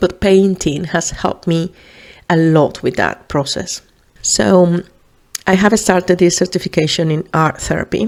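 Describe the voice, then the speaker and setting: Speaking with a Spanish accent, a woman keeps a fairly low pitch, a moderate pace and fairly even intonation. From Venezuela. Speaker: podcast host, psychologist. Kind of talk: casual podcast monologue. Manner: hesitant, many fillers.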